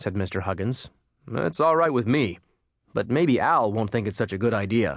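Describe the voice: Plain reading aloud with lively intonation plays over a quiet background.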